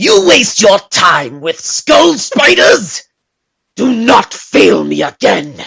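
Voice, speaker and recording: Very slow, high-pitched speech from a man in a put-on character voice. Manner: menacing, commanding.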